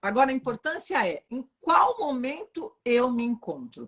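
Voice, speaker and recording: With a high pitch and very wide pitch swings, a woman talks at a fairly slow pace in an animated tone, the sound dry and close with no echo. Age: 40s. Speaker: relationship therapist. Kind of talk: live stream conversation. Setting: online live stream.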